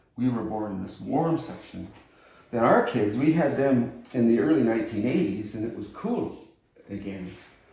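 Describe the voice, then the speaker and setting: Audible room echo surrounds a man speaking at medium pitch and a moderate pace, with ordinary pitch variation and big swings in loudness. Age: 70s. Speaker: retired climatologist. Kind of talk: interview.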